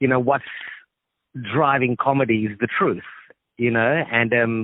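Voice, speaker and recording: A man with an Australian accent talks at a fairly slow pace. His pitch is medium and his intonation fairly even. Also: very even loudness. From Australia, Sri Lankan family. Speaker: actor and comedian. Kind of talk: phone interview. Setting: phone call.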